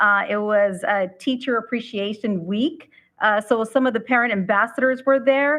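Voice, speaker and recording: At a moderate pace, a woman with a Spanish accent speaks with a fairly high pitch, ordinary pitch variation and very even loudness. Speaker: school board member. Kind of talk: board meeting report. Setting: public board meeting. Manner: halting, many fillers.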